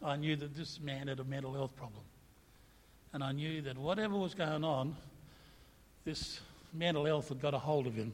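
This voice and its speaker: Somewhat breathy speech at a moderate pace, broken by long, frequent pauses, carries audible room echo. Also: man. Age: 60s. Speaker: pastor. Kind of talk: sermon.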